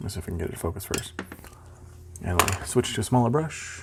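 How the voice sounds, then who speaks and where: Mumbling at a very fast pace, a man with a fairly low pitch uses lively intonation over noticeable background noise. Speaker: miniature painting hobbyist. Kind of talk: casual painting tutorial narration. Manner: rambling, mumbles a lot.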